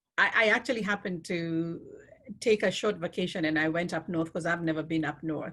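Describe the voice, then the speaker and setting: Speech at a fairly quick pace with a non-native accent. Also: woman. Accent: noticeable foreign. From Kenya. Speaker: refugee program worker and speaker. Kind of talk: Q&A at online talk.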